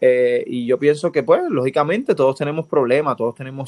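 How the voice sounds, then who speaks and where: A man speaks at a fairly quick pace with a Puerto Rican accent. His intonation is fairly even, and the sound is dry and close with no echo. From Puerto Rico, Dorado. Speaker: professional baseball pitcher. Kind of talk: interview.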